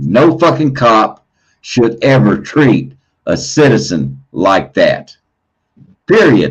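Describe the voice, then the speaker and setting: A man with vocal fry and a medium pitch speaks very slowly, his pitch swinging very widely between long, frequent pauses. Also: very even loudness. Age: 60s. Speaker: livestream host. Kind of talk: heated debate. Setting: livestream. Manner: repetitive, stammering.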